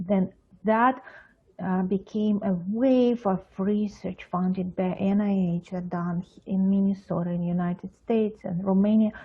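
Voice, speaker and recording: Her voice somewhat breathy, a woman speaks at a medium pitch and a fairly slow pace with fairly even intonation. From Russia, Moscow. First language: Russian. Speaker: pediatric psychologist. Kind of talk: interview. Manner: halting, many fillers.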